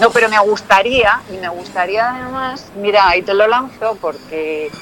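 Over noticeable background noise, a woman of medium pitch speaks with lively intonation. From Spain, Toledo province (Talavera de la Reina area). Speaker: actress and former model. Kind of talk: casual interview chat.

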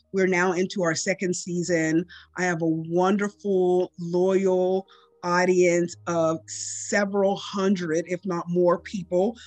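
Against noticeable background noise, a woman speaks at a very slow pace in a fairly low pitch. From US, Pittsburgh area. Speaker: podcast host. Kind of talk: interview; scripted narration.

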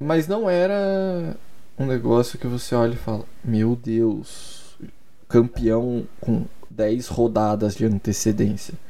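The tone is dark and mellow, with lively intonation. Delivery is very slow, and audible room echo fills the recording. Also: man, medium pitch for a man. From Curitiba, Brazil. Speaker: sports podcaster. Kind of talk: solo podcast monologue. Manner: casual, hesitant with repetitions.

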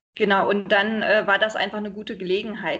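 A woman's plain, everyday voice, fairly high-pitched and fairly quick. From Berlin, Germany. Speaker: expat partner, mother. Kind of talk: interview, casual chat. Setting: internet call. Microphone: sometimes poor sound quality.

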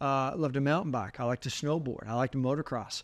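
An unremarkable speaking voice from a man at medium pitch, fairly quick in pace, with fairly even intonation against a quiet background. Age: 50s. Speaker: faith podcast co-host. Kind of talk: casual chat.

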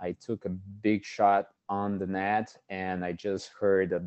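Very slowly and in a flat monotone, a man with a very deep, low voice speaks in a Portuguese accent. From Brazil. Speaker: physical therapist. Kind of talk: interview.

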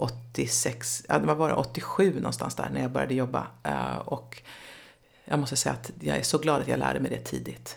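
A woman speaks with a very deep, low pitch, very wide pitch swings, and vocal fry. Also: moderate pace. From Sweden, Nyköping. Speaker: relationship expert and public speaker. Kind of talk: casual interview chat.

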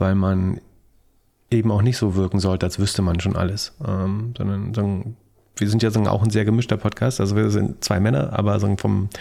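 A man talks at a fairly quick pace in a fairly low voice. His tone is dark and mellow, with fairly even intonation. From East Germany. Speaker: tech and stock podcaster, business consultant. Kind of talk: interview. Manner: halting, many fillers.

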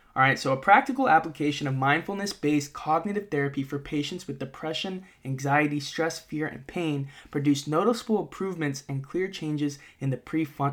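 Recorded very cleanly against a silent background, a man with an unremarkable speaking voice talks fairly quickly at a fairly high pitch with ordinary pitch variation. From US Northeast, Massachusetts (moved around a lot). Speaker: podcast host, mental performance coach. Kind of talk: educational monologue. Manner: casual, filler-heavy (uh, okay, all right).

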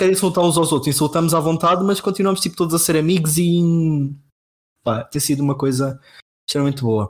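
A man speaks at a very fast pace with a high pitch. His loudness stays very even. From Portugal, Castelo Branco. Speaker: software engineer, podcast co-host. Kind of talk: casual chat.

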